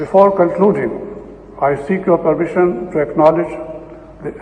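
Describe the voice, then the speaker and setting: Noticeable background noise sits behind a man who talks at a moderate speed with ordinary variation in pitch. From northern India. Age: 80s+. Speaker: retired diplomat and civil servant. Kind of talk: acceptance speech. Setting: ceremony with audience. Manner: formal.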